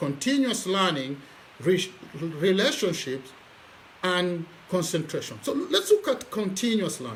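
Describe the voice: A man talks fairly slowly in a high pitch with very wide pitch swings and a fairly bright tone. Room echo is audible.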